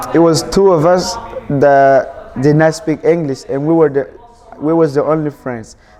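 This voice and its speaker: Over noticeable background noise, a man with a fairly high pitch speaks at a fairly slow pace and with fairly even intonation. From Burkina Faso, West Africa. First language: not English. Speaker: immigrant student. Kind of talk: interview testimony.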